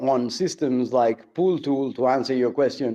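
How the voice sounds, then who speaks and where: With a dark, mellow tone, this voice proceeds fairly slowly and keeps its intonation fairly even. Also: man. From outside the US. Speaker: crypto stake pool operator. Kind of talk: live audio space discussion. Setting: live Twitter Space. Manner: repeats words, filler hesitations.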